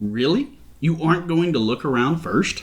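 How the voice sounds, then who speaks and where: A gruff, mumbling put-on character voice from a man, fairly high in pitch, with lively intonation at a moderate pace. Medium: read story.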